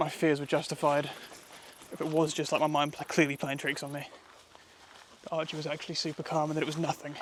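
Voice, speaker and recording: Someone with a British accent speaks quietly at a very fast pace, in a monotone, flat intonation. Long, frequent pauses break up the speech, with noticeable background noise. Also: man, fairly high pitch for a man. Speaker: wild camping vlogger. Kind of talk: outdoor vlog monologue. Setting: outdoors in woodland. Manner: quieter, hushed.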